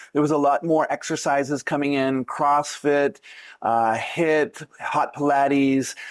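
Speaking in a normal speaking voice with a Canadian accent, a man talks at a fairly slow pace in a fairly high pitch, his intonation fairly even and his loudness very even, on a very clean recording with a silent background. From Canada. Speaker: yoga teacher. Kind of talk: interview. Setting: on location in Thailand.

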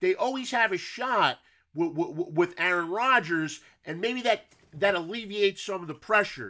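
A raised, projected voice with a bright, sharp tone speaks at a moderate pace with lively intonation. The recording is very clean with a silent background. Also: man, high pitch for a man. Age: 40s. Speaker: sports podcast host. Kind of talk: casual interview chat; scripted intro and outro.

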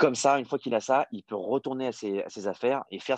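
Recorded dry and close with no echo over a quiet background, a man talks at a fairly quick pace with ordinary pitch variation. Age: 30s. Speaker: startup founder and CEO. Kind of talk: interview.

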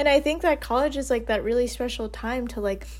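A speaker with an American accent is heard with audible room echo. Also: woman. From US Northeast, Westchester New York. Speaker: podcast co-host. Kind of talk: casual chat.

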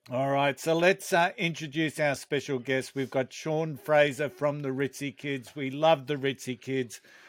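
Speaking at a moderate pace with hardly any pauses, a man uses a fairly high pitch and fairly even intonation on a very clean recording with a silent background. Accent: Australian. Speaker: podcast host. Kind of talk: casual chat, unscripted.

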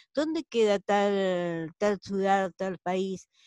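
Someone talks very slowly with a Rioplatense accent and ordinary pitch variation. The sound is dry and close, with no echo. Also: woman. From Argentina, La Plata. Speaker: accountant and tour guide. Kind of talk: online group discussion. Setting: video call.

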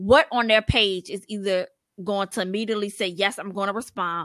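On a very clean recording with a silent background and a dry, close sound with no echo, a woman speaks at a moderate pace in a medium pitch with ordinary pitch variation and a plain, everyday voice. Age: 30s. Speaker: podcast co-host. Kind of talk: casual chat.

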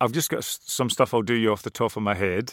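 A man with a Scottish accent, fairly low in pitch, ordinary pitch variation. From west of Scotland. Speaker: musician and writer. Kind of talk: interview.

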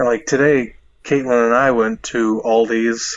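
At a fairly slow pace, a man speaks in an unremarkable speaking voice at medium pitch, his intonation fairly even. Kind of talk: casual chat. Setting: phone call.

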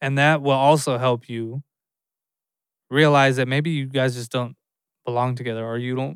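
In a very clean recording with a silent background, someone talks in a normal speaking voice with fairly even intonation. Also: man. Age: 30s. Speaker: podcast host. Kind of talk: solo casual talk.

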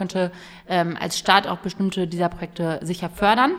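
Noticeable background noise runs behind the recording. A woman speaks over it with fairly even intonation. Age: 20s. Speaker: youth politician. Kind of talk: casual interview. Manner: hesitant, many fillers.

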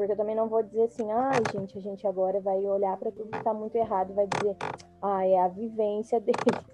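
Over background music, a woman talks very fast in a flat monotone. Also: medium pitch for a woman. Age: 30s. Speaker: podcast host. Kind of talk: casual chat.

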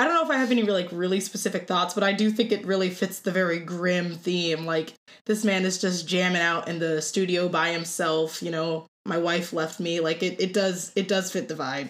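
A woman with an American accent speaks at a moderate pace. She has an unremarkable speaking voice with ordinary pitch variation. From Ohio, Cleveland. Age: 20s. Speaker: opera voice student. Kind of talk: casual chat.

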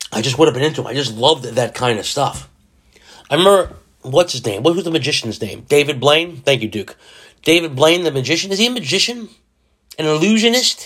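A man talks very fast with lively intonation and a fairly high pitch. His speech is broken by long, frequent pauses. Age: 40s. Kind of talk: casual solo monologue. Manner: halting, repeats words; animated.

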